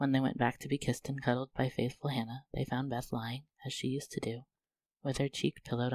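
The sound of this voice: Against a quiet background, an unforced reading voice carries fairly even intonation.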